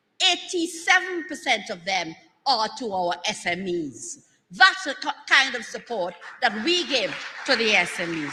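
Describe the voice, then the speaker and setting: A woman with a high pitch speaks with very wide pitch swings. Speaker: government minister / political speaker. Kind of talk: rousing political rally speech. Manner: rousing, energetic, emphatic.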